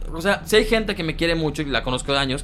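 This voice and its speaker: Noticeable background noise sits behind a man who talks at a very fast pace with lively intonation. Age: 20s. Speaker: content creator and comedian. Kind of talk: casual chat. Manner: animated.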